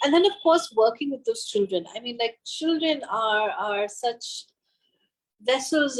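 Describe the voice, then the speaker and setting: A woman speaks with a high pitch. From India, Bengal. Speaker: author and children's theatre director. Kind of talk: casual interview chat. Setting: online video call. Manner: halting, many fillers.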